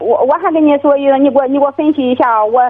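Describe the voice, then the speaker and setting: Against noticeable background noise, a woman talks at a very fast pace in a high pitch. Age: 40s. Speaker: caller, divorced grandmother minding a shop. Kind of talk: phone-in call. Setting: phone call. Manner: halting, many fillers.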